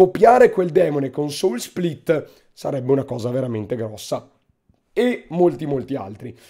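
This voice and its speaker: The man's voice sits fairly high, with a dark, mellow tone. He keeps a moderate pace. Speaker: gaming youtuber. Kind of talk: casual gaming commentary. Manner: informal, profane, joking.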